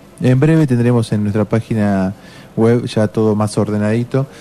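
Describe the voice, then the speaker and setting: A man talks at a moderate pace, with medium pitch and ordinary pitch variation. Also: very even loudness. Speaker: radio host. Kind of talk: casual chat.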